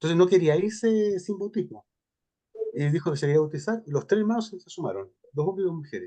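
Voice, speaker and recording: With a dark, mellow tone, a man speaks at a very fast pace in a high pitch with ordinary pitch variation. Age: 60s. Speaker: priest giving a seminar talk. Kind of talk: question and answer after a talk.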